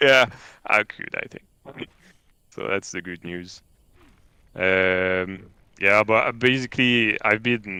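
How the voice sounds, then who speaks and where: A man with a French accent speaks at a very slow pace, with long, frequent pauses and big swings in loudness. His fairly low pitch carries a bright, sharp tone and ordinary pitch variation. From France. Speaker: game programmer. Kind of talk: casual livestream chat.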